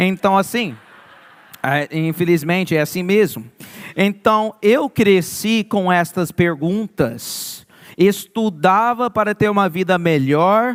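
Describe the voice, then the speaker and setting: With a São Paulo interior accent, a man talks at a fairly slow pace in a high voice with lively intonation. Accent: Portuguese sounds like interior of São Paulo. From Maryland, US (born New York). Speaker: youth pastor. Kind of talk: sermon.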